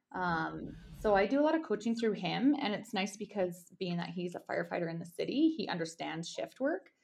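A woman speaks at a medium pitch with vocal fry and very wide pitch swings. She talks at a fairly quick pace with hardly any pauses against a quiet background. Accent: western Canadian. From Alberta, Canada. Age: 30s. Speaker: ultramarathon runner. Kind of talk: casual interview chat.

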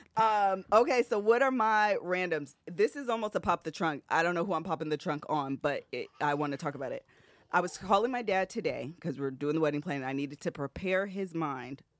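A woman has an unremarkable speaking voice with a fairly low pitch and lively intonation. The recording is very clean with a silent background, and the sound is dry and close with no echo. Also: hardly any pauses. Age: 40s. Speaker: podcast co-host. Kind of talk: casual chat.

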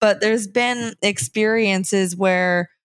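An unremarkable speaking voice, a woman's at medium pitch, moves at a fairly slow pace with fairly even intonation in a very clean recording with a silent background. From New Jersey. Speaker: actress and bone broth company founder. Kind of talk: interview.

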